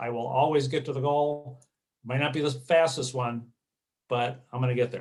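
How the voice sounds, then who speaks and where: The voice belongs to a man and is somewhat breathy. His intonation stays fairly even. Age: 60s. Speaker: marathon runner. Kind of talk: interview. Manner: halting, many fillers.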